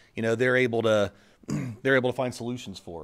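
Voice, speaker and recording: This is a man speaking. The background is quiet. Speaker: school administrator hosting event. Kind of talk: welcome speech. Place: hall. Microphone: podium.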